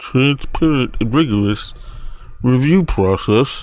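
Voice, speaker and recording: The voice is a put-on character. It moves at a fairly slow pace. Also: man, medium pitch for a man. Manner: relaxed slack-jawed, fluffy.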